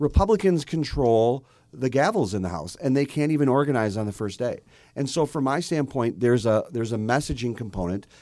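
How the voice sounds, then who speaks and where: A man with an American accent and a dark, mellow tone speaks at a fairly quick pace with lively intonation, in a very clean recording with a silent background. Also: medium pitch for a man. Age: 40s. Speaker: podcast host and former party official. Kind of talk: casual chat. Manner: halting.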